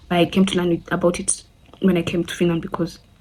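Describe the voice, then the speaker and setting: A woman with a dark, mellow tone and a medium pitch speaks at a fairly quick pace, somewhat breathy and in a monotone, flat intonation. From Kenya. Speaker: friend of the channel owner, guest. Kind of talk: casual Q&A vlog.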